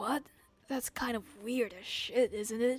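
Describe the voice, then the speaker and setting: A woman's put-on character voice, high and raspy, at a fairly slow pace with fairly even intonation. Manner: cursing, rough.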